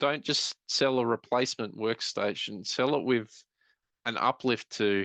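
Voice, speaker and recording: A man with a normal speaking voice and medium pitch talks at a moderate pace with fairly even intonation. The sound is dry and close with no echo, over a quiet background. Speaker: IT business consultant. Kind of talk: webinar presentation. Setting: online webinar.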